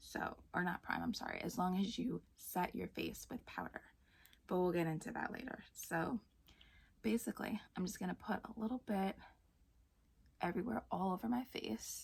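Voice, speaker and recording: Soft-spoken and medium in pitch, a woman talks at a moderate pace with long, frequent pauses. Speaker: beauty vlogger. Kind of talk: makeup tutorial.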